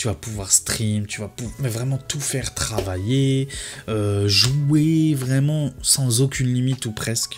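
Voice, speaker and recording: A man talks with ordinary pitch variation, and noticeable background noise is present. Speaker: tech youtuber. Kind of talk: casual video commentary. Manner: fast; hesitant with fillers.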